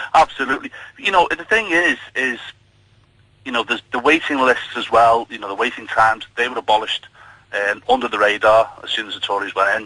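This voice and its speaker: A man talks at a fairly quick clip with a Liverpool accent. His intonation is lively, and his loudness swings widely. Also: medium pitch for a man. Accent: Scouse. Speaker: nurse, caller. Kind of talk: radio phone-in.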